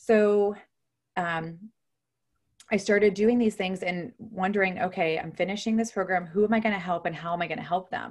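This woman talks at a moderate pace with a medium pitch and fairly even intonation. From Ohio, US Midwest. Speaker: nurse and health coach. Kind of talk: interview.

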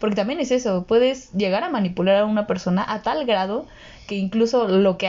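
A woman's voice of medium pitch, an unremarkable speaking voice with ordinary pitch variation. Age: 20s. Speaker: podcast co-host, psychology side. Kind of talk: casual chat.

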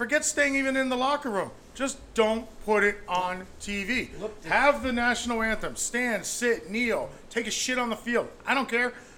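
A man's extremely high-pitched, raised and projected voice at a fairly slow pace. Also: ordinary pitch variation. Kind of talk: casual banter.

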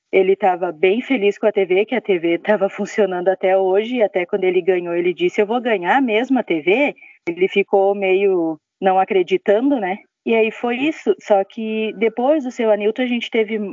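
This woman's voice holds a medium pitch and ordinary pitch variation, moving at a moderate pace. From Brazil, outside Santa Catarina. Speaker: retail sales consultant. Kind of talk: personal testimony. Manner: conversational, with fillers.

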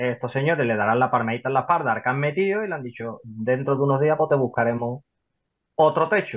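A man talks at a very fast pace, his intonation lively throughout. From Spain, Seville. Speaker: property investor. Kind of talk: interview.

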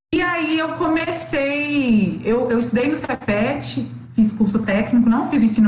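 A woman with a fairly high pitch talks at a fairly slow pace with lively intonation, and the room echo is audible. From Minas Gerais, Belo Horizonte. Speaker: obstetrics student. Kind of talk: casual interview.

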